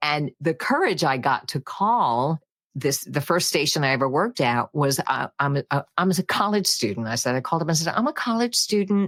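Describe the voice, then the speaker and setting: A woman speaks at a fairly quick pace in an upbeat tone with lively intonation. The sound is dry and close, with no echo. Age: 70s. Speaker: voice actress. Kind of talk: interview answer. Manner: upbeat, dynamic.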